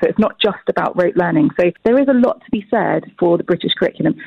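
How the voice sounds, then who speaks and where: A woman's very fast speech with lively intonation. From Britain. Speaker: education editor. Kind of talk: recorded interview.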